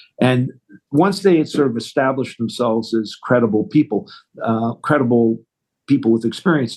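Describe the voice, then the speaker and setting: A man with a Canadian accent speaks at a medium pitch, his dark, mellow tone rising and falling in the usual way. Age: 60s. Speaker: retail business owner. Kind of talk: interview.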